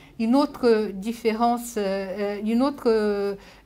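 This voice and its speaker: A woman's fairly high voice with fairly even intonation is heard with audible room echo. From Brazil, born in Japan. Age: 70s. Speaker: sociologist. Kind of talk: lecture. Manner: halting, many hesitations.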